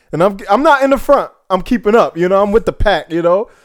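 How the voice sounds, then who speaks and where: Recorded dry and close with no echo, a man speaks at a fairly quick pace in a high pitch. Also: very clean recording, silent background. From Jamaican heritage. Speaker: podcast co-host. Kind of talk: casual chat.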